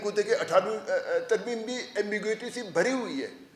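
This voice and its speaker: This man speaks while noticeable background noise plays behind him. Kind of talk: public speech at a press club.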